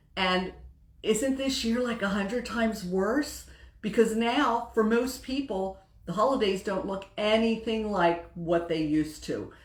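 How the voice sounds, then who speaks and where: Amid noticeable background noise and audible room echo, a woman speaks fairly slowly in a fairly high pitch with ordinary pitch variation. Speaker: women's group host. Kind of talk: Facebook live talk. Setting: livestream. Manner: casual.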